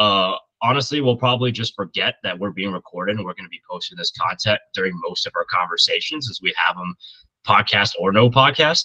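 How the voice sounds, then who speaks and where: The sound is dry and close, with no echo. A man speaks at a fairly quick pace with big swings in loudness. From Indiana, US Midwest. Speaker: podcast host, football fan. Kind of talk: casual sports chat.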